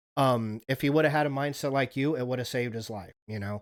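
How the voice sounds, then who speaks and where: The speaker has an American accent and talks at a fairly quick pace. The recording is very clean, with a silent background. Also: man. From Wyoming, US. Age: 30s. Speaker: live streamer. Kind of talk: casual chat. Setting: live stream. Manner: halting, many fillers.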